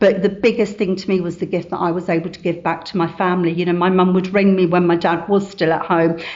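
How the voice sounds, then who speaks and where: A woman rushes along at a very fast pace with hardly any pauses and a monotone, flat intonation. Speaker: recovering addict sharing at a meeting. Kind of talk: testimony. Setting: meeting room with audience.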